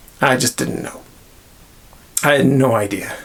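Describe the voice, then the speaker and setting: Noticeable background noise sits under fairly even intonation delivered at a moderate pace. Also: man. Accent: Northern Irish. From Northern Ireland. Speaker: miniature hobby YouTuber. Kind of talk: casual talk to camera.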